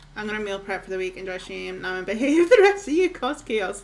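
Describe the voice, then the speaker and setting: A woman speaks with a Scottish accent and a fairly high pitch. Her tone is relaxed and her intonation lively. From northeast Scotland. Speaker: video game streamer. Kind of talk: casual livestream chat. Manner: chatty, relaxed.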